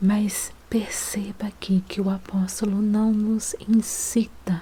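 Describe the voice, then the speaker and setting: A soft-spoken woman talks in a gentle tone. Her intonation stays flat and monotone. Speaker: devotional ASMR Bible reader. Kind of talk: devotional Bible reading with commentary, for relaxation and sleep. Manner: soft-spoken, gentle.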